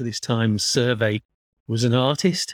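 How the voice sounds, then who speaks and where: An ordinary speaking voice from a man at medium pitch, very clean recording with a silent background, dry and close with no echo. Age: 50s. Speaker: artist and gallery worker. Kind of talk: casual interview.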